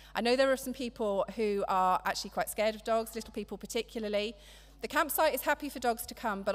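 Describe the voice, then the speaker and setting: A woman talks at a very fast pace with an English accent. Vocal fry runs through her voice. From England. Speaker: church member. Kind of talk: church announcements and scripture reading. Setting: church. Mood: friendly, practical. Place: church. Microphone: podium.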